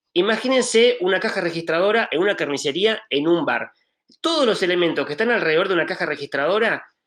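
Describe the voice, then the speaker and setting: In an Argentine accent, a man speaks at a very fast pace. His pitch is high, and his intonation is lively. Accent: Argentine accent on a Spanish speaker. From Spain. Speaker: film art director. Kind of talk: panel discussion. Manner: hesitant, many fillers.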